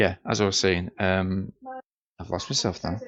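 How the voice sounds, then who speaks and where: A quiet man's voice at a fairly slow pace with fairly even intonation. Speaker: product reviewer. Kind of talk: casual product demo. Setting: noisy room at home. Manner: quiet, low volume.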